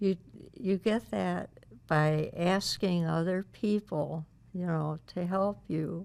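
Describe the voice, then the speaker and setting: With an American accent, a woman speaks at a fairly low pitch in a dark, mellow tone with fairly even intonation. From Ohio, US Midwest (Toledo area). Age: 80s+. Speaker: local historian and author. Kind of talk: interview.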